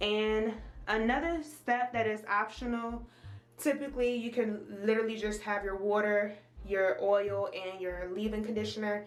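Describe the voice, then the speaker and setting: Noticeable background noise and audible room echo surround a woman whose voice is fairly high. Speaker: beauty vlogger. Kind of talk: tutorial. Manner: fast; animated.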